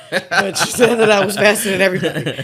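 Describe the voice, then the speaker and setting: A woman speaks with a slight Maryland accent. The recording is very clean, with a silent background. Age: 30s. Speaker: celebrity stylist and costume designer. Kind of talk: casual interview chat. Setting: kitchen table podcast. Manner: casual, filler-heavy.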